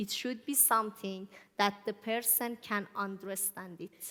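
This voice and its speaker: Speaking very slowly with an Iranian accent, a woman uses a medium pitch and fairly even intonation. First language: Farsi. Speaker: church speaker. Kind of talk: sermon.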